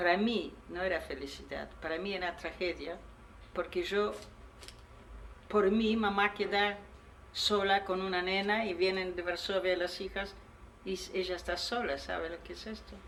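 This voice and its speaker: This woman's medium-pitched voice stays monotone and flat, moving at a fairly slow pace with long, frequent pauses. Room echo is audible. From Poland. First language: Polish (speaking Spanish). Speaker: Holocaust survivor. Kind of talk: testimony. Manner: halting.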